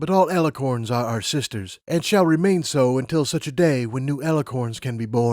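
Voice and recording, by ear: Someone reads a text aloud in a natural voice.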